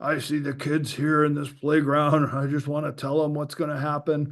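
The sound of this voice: In a put-on character voice, a man speaks raspily at a fairly high pitch, with monotone, flat intonation and a moderate pace.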